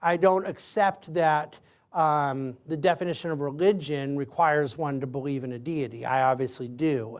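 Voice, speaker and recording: In a plain, everyday voice, a man speaks at a moderate pace with a fairly high pitch and ordinary pitch variation, recorded very cleanly against a silent background. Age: 40s. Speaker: lecturer answering student questions. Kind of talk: audience Q&A.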